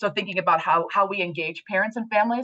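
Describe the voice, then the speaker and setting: Ordinary in pitch variation, a woman's speech runs at a very fast pace. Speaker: committee leader. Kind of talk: meeting report.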